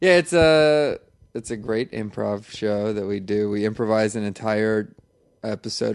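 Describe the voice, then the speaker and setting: A man talks at a moderate pace with a fairly low pitch and ordinary pitch variation, in an unremarkable speaking voice. The background is quiet. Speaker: podcast guest. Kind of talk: casual chat.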